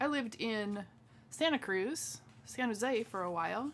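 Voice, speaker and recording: With an American accent, a woman speaks at a fairly high pitch that swings very widely. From Washington state, US Pacific Northwest. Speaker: craft demonstrator. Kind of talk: live craft tutorial stream with chat. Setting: home live stream. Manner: casual, chatty with filler words.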